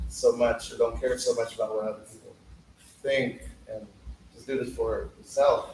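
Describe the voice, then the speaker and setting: This is a man speaking at a moderate pace. Noticeable background noise runs underneath. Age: 30s. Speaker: poet at open mic. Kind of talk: casual interview answers; spoken word performance. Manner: halting.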